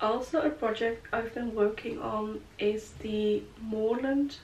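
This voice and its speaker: A woman's fairly high voice, with ordinary pitch variation, comes through against noticeable background noise. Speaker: knitting vlogger. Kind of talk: casual chat. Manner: relaxed, chatty with many fillers.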